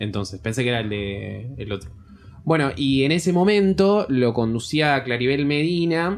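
Someone with a Rioplatense accent speaks at a moderate pace, the pitch swinging very widely. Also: man, medium pitch for a man. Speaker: podcast co-host. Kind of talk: casual chat.

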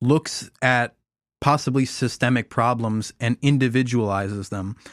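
A man's plain, everyday voice at medium pitch and moderate pace, fairly even in intonation, with a dry, close sound with no echo and a very clean recording over a silent background. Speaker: podcast host. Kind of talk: casual political discussion.

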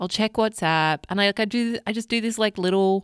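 A woman speaks with an Australian accent. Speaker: podcast host, life coach. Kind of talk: solo podcast monologue. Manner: warm, soothing.

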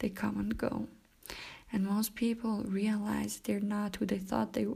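A woman with a non-native accent speaks at a medium pitch and a fairly slow pace, her dark, mellow tone flat and monotone with vocal fry. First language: not English. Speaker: self-help podcaster. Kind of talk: solo monologue talk. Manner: laughs often; hesitant, many fillers.

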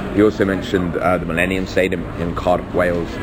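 Very deep, low male voice in a flat monotone, fairly quick, with audible room echo and noticeable background noise. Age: 30s. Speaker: MMA podcast host. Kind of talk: casual commentary monologue. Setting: airport.

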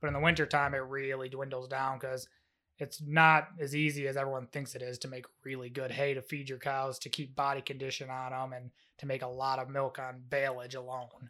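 In an upstate New York accent, a man speaks at a medium pitch with a bright, sharp tone. His intonation is monotone and flat, and the recording is very clean with a silent background. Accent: upstate New York American. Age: 20s. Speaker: dairy farmer and milk tester. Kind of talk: casual chat.

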